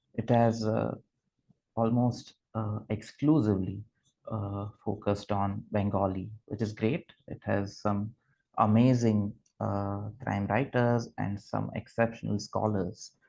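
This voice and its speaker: A man speaks with a Gujarati accent, his pitch fairly low and his tone dark and mellow. He talks at a very slow pace with fairly even intonation. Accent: Indian English, Gujarati. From Gujarat, India. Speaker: literature scholar. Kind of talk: lecture. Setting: video call. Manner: halting, many fillers.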